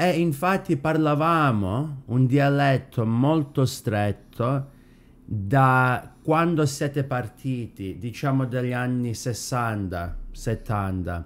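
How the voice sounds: A man's medium-pitched voice at a slow pace, with few pauses and ordinary pitch variation.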